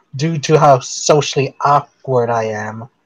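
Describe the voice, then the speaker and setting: A normal speaking voice from a man, at a fairly slow pace. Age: 20s. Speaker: guest on online hangout. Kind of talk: casual chat.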